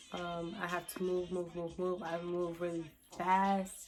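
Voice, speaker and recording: A woman's fairly low voice at a fairly slow pace, monotone and flat in intonation, with music in the background. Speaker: vlogger talking about mental health and motherhood. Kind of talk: casual talk to camera. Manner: hesitant, many fillers.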